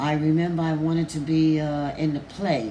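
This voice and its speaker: A woman's very deep, low voice amid audible room echo. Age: 80s+. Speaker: church elder. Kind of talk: interview. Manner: halting, many fillers.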